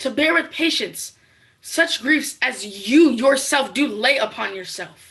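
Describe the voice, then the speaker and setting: A woman does a put-on character voice at a high pitch, with lively intonation and a fairly slow pace. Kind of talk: Shakespearean stage verse. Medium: stage play.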